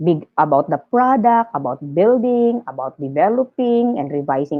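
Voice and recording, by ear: A woman talks at a moderate pace. Her pitch sits fairly low.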